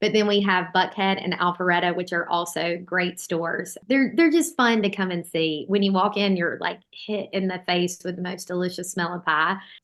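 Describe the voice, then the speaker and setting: A woman's medium-pitched voice in a Southern US accent, at a moderate pace with hardly any pauses. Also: fairly even intonation. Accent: Southern US (Georgia). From US South, Georgia. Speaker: bakery owner. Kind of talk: interview conversation. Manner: casual, many fillers.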